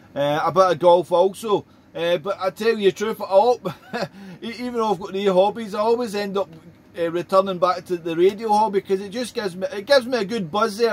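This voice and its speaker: A man with a high voice and a Scottish accent speaks at a fairly quick pace with ordinary pitch variation. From Scotland. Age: 40s. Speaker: ham radio operator. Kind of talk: casual chat. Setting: radio contact. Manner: halting.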